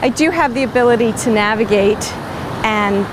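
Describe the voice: A woman's fairly high voice, ordinary pitch variation, and clear background noise.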